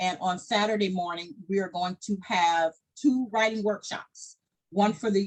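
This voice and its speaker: A woman's medium-pitched, somewhat breathy voice at a moderate pace. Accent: Southern US. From US South, Arkansas Delta. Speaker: founder and director of a descendants' organization. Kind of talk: casual chat.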